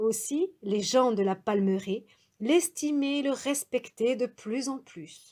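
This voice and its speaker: A woman with a high voice and a dark, mellow tone speaks very slowly with lively intonation. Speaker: storyteller. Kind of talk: traditional tale telling.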